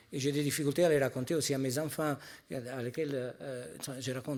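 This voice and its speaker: This man talks at a fairly quick pace. He has a non-native accent. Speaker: pharmaceutical industry executive. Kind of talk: panel discussion. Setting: stage at a conference.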